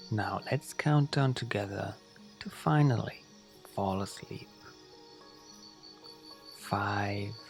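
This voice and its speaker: Music plays behind a man speaking at a very slow pace, with long, frequent pauses. His pitch varies in an ordinary way. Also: fairly low pitch for a man. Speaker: sleep guide. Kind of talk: guided sleep meditation for children. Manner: slow, soft-spoken.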